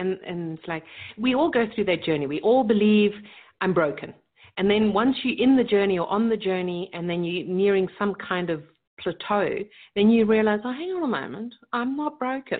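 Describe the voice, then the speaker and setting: With lively intonation, a woman talks at a medium pitch and a moderate pace. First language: German. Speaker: leadership coach and business strategist. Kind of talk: interview. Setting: remote call.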